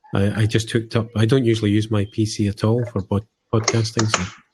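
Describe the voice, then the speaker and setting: With a Scottish accent, a man speaks fairly quickly at a fairly low pitch, somewhat breathy and in a monotone, flat intonation. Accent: Scottish, noticeable. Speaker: hobby podcaster. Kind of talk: casual chat.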